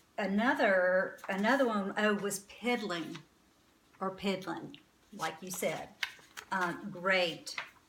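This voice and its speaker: In an American accent, a woman speaks at a medium pitch and a very slow pace, with long, frequent pauses, ordinary pitch variation, audible room echo and noticeable background noise. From North Carolina, Winston-Salem. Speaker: vlogger, boutique owner. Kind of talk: casual talk to camera.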